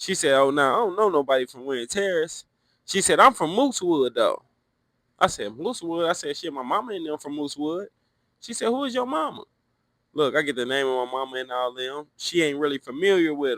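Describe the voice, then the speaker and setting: A man with an American accent talks at a fairly quick pace in a fairly high pitch, his intonation lively and his loudness swinging widely, in a dry, close recording with no echo. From Cincinnati, Ohio, US. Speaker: former prisoner telling life story. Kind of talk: casual storytelling. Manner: animated.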